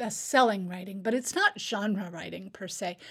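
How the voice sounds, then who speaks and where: Her pitch sits at a medium level for a woman, and her voice is somewhat breathy. She keeps a moderate pace. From Alaska, Fairbanks. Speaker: English professor and writer. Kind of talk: interview. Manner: halting, with frequent repetitions.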